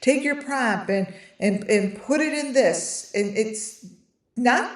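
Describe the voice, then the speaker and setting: Amid audible room echo, a woman speaks at a very slow pace with lively intonation and long, frequent pauses. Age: 50s. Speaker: online creator selling AI trading cards. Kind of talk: casual live stream talk. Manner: halting, many fillers and restarts.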